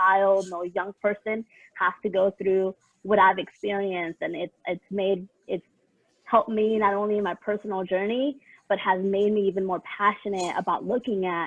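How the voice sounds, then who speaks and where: Fairly even in intonation, a woman speaks at a moderate pace. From San Diego, California. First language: Spanish. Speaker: equity and inclusion consultant, panelist. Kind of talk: conference panel self-introduction.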